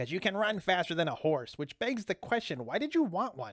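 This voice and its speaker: A man uses a put-on character voice at a high pitch. He talks at a fairly quick pace. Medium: read story. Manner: dry, deadpan.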